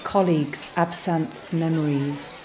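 A woman talks very slowly with ordinary pitch variation while light background noise runs underneath. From Australia. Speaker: poet. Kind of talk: poetry reading. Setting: studio. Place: studio.

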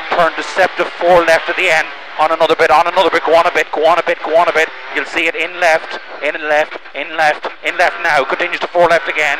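Pitched fairly high, a man rushes along at a very fast pace in a monotone, flat delivery. The sound is dry with no echo, though noticeable background noise comes through. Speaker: rally co-driver. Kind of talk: pace note calls. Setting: in rally car during stage. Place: car. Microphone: headset.

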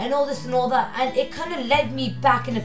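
A woman speaks over clear music in the background. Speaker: vlogger. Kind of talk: casual vlog chat. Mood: annoyed, ranting about college. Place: home room. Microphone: phone near.

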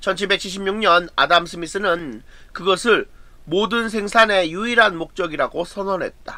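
Raised and projected, a man's high-pitched voice with a bright, sharp tone moves at a very slow pace. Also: ordinary pitch variation. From South Korea. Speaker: high school English teacher. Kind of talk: lecture. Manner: measured reading of translations. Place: home room.

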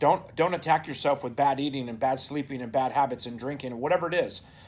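The speaker is a man. His voice rises and falls in a typical way. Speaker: motivational speaker. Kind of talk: motivational vlog talk. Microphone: phone near.

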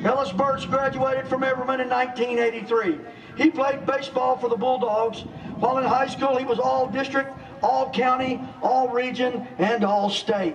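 An extremely high-pitched male voice speaks at a moderate pace with fairly even intonation and very even loudness. Background noise is noticeable. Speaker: stadium announcer. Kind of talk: ceremony announcement. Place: stadium.

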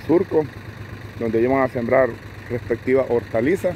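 Light background noise surrounds a man whose sound is dry, without echo. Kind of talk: descriptive commentary. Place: open country. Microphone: phone near.

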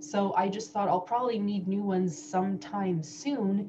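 A woman talks at a moderate pace while noticeable noise fills the background. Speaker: dental hygienist reviewer. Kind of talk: casual product review chat. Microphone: webcam.

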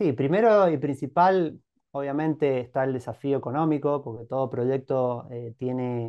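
A man's speech shows ordinary pitch variation, with a quiet background. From Argentina, Mendoza (Monte Comán, San Rafael); Mendoza, Argentina. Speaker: chemical engineer, cooperative member. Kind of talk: interview. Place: home room. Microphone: video call.

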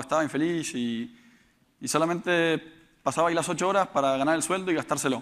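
Against a quiet background, a man speaks at a fairly quick pace in a fairly high voice with ordinary pitch variation. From Argentina, Buenos Aires. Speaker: startup founder; conference speaker. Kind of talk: conference talk. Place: stage. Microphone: lapel.

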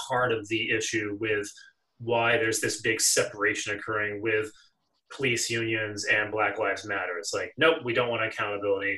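Against a quiet background, a man with a bright, sharp tone talks at a fairly quick pace. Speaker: activist. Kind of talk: panel discussion. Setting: video call. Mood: earnest, opinionated. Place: home room. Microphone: video call.

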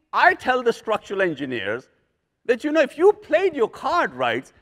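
In a very clean recording with a silent background, a man speaks at a moderate pace in an extremely high pitch, with very wide pitch swings and a fairly bright tone.

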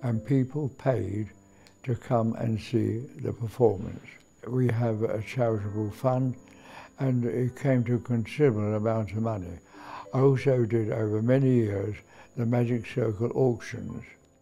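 Faint music plays in the background as a man speaks at a moderate pace with fairly even intonation. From London. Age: 80s+. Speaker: magician. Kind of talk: interview monologue. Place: home room.

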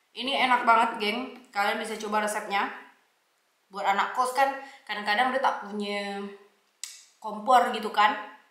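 Over a quiet background with audible room echo, a woman speaks at a moderate pace in a monotone, flat intonation with long, frequent pauses. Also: fairly high pitch for a woman. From Malay region of Sumatra, Indonesia (Batak). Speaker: cooking vlogger. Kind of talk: casual talk to camera. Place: home room. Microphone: phone near.

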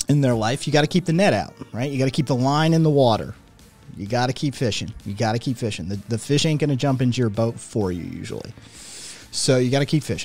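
Faint music plays in the background. Over it, a man talks at a very fast pace. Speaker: livestreamer. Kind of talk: casual stream storytelling. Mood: amused, laughing often. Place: home room. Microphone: studio mic.

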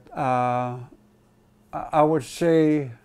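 A man speaks, his voice pitched fairly high. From Interior Alaska. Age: 70s. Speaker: guitarist and singer. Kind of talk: interview answer. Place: home room.

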